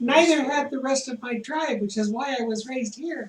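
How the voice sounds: A female-sounding voice puts on a character voice, pitched high. The pace is moderate.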